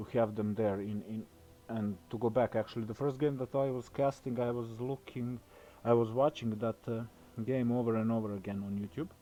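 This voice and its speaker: A man with a non-native accent talks at a fairly quick pace. His tone is dark and mellow, with fairly even intonation. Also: medium pitch for a man. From Southeastern Europe. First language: not English. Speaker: amateur esports caster. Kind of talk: live commentary. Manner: halting.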